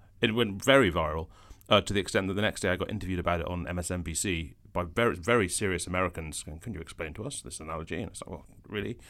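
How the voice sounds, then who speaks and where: A man's very deep, low voice at a very fast pace, with ordinary pitch movement and big swings in loudness, on a very clean recording with a silent background. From Scotland, Edinburgh. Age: 40s. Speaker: journalist and columnist. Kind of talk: casual chat.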